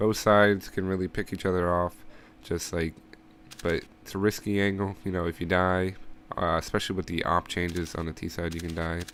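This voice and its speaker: The speech runs at a fairly quick pace. Its intonation is monotone and flat. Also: man, very deep, low pitch for a man. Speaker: gaming video creator. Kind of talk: game tutorial voice-over. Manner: casual, many fillers.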